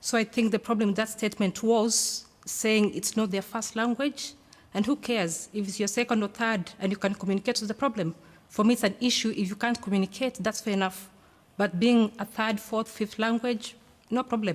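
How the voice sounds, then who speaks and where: A somewhat breathy voice moves at a fairly quick pace with fairly even intonation. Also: woman, fairly high pitch for a woman. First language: not English. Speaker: audience member. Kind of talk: public debate question. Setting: studio with audience. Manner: emphatic.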